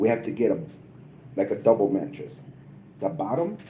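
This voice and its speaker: With an American accent, a man speaks in a dark, mellow tone that is somewhat breathy, his intonation lively. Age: 50s. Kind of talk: casual chat.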